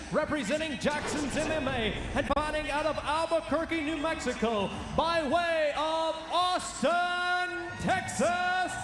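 Through noticeable background noise, a man speaks fairly slowly at an extremely high pitch in an energetic, dramatic tone. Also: ordinary pitch variation. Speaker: MMA cage announcer. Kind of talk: live fight announcement, ring announcer introduction. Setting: live arena event with PA system. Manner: loud, energetic, dramatic. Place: stadium. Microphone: handheld.

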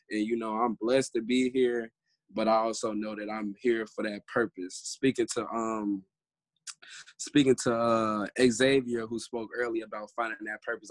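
A man's monotone, flat delivery at a moderate pace, against a quiet background, with a dry sound and no echo. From US Midwest. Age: 20s. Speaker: youth activist. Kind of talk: panel discussion. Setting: video call. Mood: earnest, reflective. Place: home room. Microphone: video call.

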